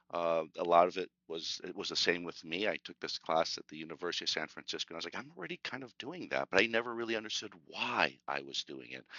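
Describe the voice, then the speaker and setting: A man speaks at a fairly quick pace. His voice is very deep and low. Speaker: sales executive presenting a webinar. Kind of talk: webinar presentation. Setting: online webinar. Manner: fast when excited; many fillers (uh, um).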